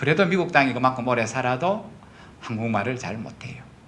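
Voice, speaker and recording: A man's fairly quick speech with lively intonation, audible room echo and noticeable background noise. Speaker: pastor. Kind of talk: sermon. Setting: church. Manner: conversational, frequent tag questions.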